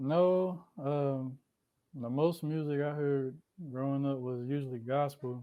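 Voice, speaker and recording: Speaking at a very slow pace with a Southern US accent, a man uses a fairly high pitch and fairly even intonation. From Columbia, South Carolina. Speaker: rapper. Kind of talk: interview. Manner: soft-spoken.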